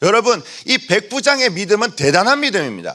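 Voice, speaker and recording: This man talks at a moderate pace in a high pitch. His tone is bright and sharp, with lively intonation. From Busan, South Korea. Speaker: pastor. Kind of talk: sermon. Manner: concise and forceful.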